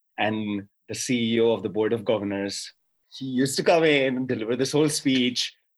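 This is a plain, everyday voice, keeping a moderate pace and ordinary pitch variation. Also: man, medium pitch for a man. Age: 20s. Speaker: sports journalist. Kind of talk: casual chat.

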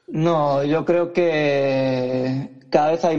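A man with a fairly high-pitched voice. His intonation stays fairly even. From Badalona, Catalonia, Spain. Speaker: youth basketball coach. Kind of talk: interview.

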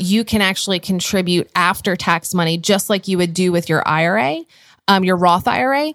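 Against a silent background on a very clean recording, a woman talks in a normal speaking voice at a moderate pace, with medium pitch, ordinary pitch variation, and a dry, close sound with no echo. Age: 30s. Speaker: conference founder and podcast host. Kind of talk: casual chat.

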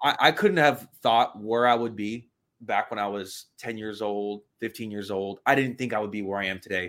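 A man's fairly low voice at a moderate pace with fairly even intonation, in a very clean recording with a silent background. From US, child of immigrant family. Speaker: internet marketer and fitness coach. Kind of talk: interview.

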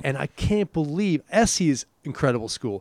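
A man with a New York accent at a moderate pace, very wide pitch swings, dry and close sound with no echo, and a very clean recording on a silent background. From New York, Irish parents. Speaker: podcast host. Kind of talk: casual chat. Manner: animated.

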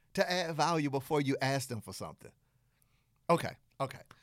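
In a very clean recording with a silent background, a man with a Southern US accent speaks at a fairly quick pace. His fairly high voice has an animated tone. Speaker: podcast host, business coach. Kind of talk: tutorial, podcast monologue. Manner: animated, conversational.

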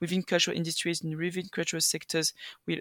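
Heard in a dry, close sound with no echo, a woman with a French accent speaks at a fairly low pitch. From France. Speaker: EU policy assistant. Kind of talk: panel discussion. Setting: video call from Brussels.

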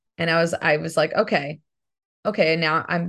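The background is quiet. A woman speaks in a fairly low voice. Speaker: voice actress and singer. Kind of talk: casual interview.

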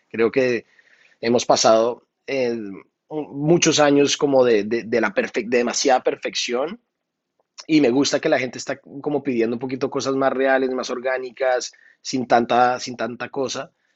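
A man speaks in an unremarkable speaking voice. His intonation stays fairly even. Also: medium pitch for a man, fairly slow pace. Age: 30s. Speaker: music producer and singer. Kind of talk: interview.

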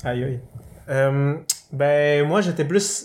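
A man with a Quebec accent talks at a very slow pace. His fairly high pitch carries fairly even intonation. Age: 20s. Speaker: occupational therapy student. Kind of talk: casual chat.

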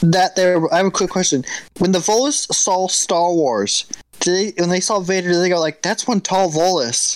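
Music plays in the background as a man speaks at a moderate pace with very even loudness. His pitch is high, with ordinary variation. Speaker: patron chat participant. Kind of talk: casual group chat. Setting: live video chat.

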